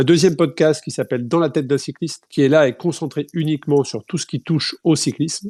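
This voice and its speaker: Music plays in the background as a man talks. His pace is moderate and his intonation fairly even. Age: 40s. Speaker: ultra-distance cyclist and event organizer. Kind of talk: podcast interview. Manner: hesitant, many fillers.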